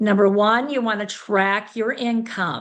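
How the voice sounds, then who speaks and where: Against a quiet background, a woman uses a normal speaking voice, fairly high in pitch, at a fairly slow pace with fairly even intonation. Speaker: sales director giving business training. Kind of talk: training session.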